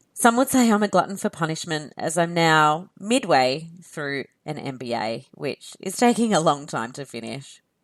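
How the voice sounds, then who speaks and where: On a very clean recording with a silent background, a woman with an Australian accent speaks at a very deep, low pitch with very wide pitch swings. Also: moderate pace. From Australia, near Canberra. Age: 30s. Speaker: podcast host. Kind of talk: podcast monologue.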